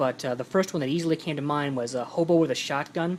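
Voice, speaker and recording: Mumbling at a fairly quick pace, a man keeps a fairly even intonation. His pitch is fairly high. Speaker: movie collector vlogger. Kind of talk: casual vlog. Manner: hesitant.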